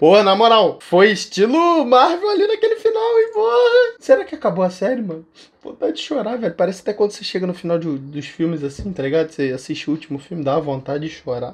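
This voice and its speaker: A man talks at a very fast clip with hardly any pauses. His pitch swings very widely and his loudness rises and falls sharply. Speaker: react video creator. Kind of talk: casual vlog chat. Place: home room. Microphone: headset.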